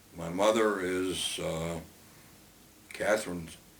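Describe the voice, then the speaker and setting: Noticeable background noise and audible room echo surround a man speaking in a very deep, low pitch with an American accent. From Brooklyn, New York. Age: 80s+. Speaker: retiree telling life story. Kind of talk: oral history interview. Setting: at home. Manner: halting with many fillers.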